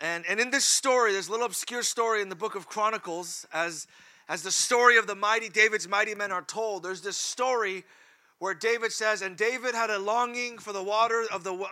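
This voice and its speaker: Talking at a fairly quick pace in a raised, projected voice, a man with an American accent has a high pitch, ordinary pitch variation and a bright, sharp tone. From California. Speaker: preacher. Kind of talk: sermon. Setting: church.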